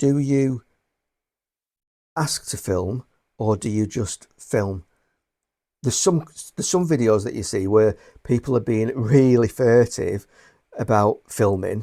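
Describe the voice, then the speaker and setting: Pausing long and often at a fairly slow pace, a man with a northwest English accent has a dark, mellow tone and medium pitch with ordinary variation, recorded dry and close with no echo on a very clean track over a silent background. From northwest England. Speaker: booktuber and bookseller. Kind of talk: casual vlog talk to camera. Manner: halting, many repeated words.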